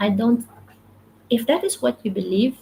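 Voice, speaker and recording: A woman speaks with a Filipino accent. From Philippines. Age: 30s. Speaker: motivational livestreamer. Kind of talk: live stream talk, reading comments. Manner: repetitive, halting.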